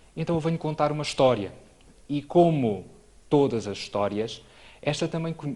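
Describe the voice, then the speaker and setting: A man with lively intonation. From Portugal, Trás-os-Montes (Alto Douro). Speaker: neurologist. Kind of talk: lecture. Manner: formal.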